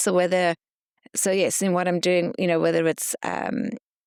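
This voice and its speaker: With a slight South African accent, this voice has vocal fry and moves at a fairly quick pace, with a dry, close sound and no echo. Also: woman. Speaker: podcast host. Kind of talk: interview conversation.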